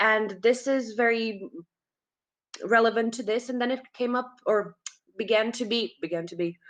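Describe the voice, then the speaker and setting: A woman's fairly high voice with a Czech accent and ordinary pitch variation. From Czech Republic. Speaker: occult magazine co-founder. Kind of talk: casual chat. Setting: livestream. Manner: halting.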